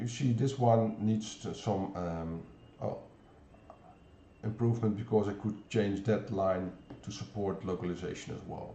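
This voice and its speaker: A man with a Dutch accent, somewhat breathy, at a fairly slow pace with long, frequent pauses, in audible room echo. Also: fairly low pitch for a man, fairly even intonation. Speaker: software developer presenter. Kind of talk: pre-recorded technical demo. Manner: halting, many fillers.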